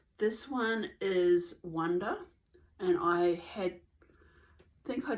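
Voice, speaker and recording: A woman's fairly low voice with lively intonation and an Australian accent. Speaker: knitting podcaster. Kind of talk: casual vlog chat. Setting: at home in the suburbs.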